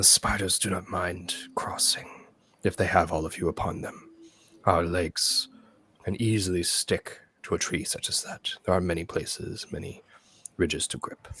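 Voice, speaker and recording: In a put-on character voice, a man growls in a very deep, raspy tone at a moderate pace, with long, frequent pauses. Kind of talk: formal. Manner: calm, reassuring.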